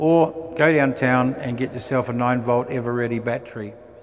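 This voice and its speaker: Against noticeable background noise, a man with a New Zealand accent speaks at medium pitch and a moderate pace. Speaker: aircraft engine manufacturer representative. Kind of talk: technical presentation. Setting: venue with live audience. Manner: hesitant fillers.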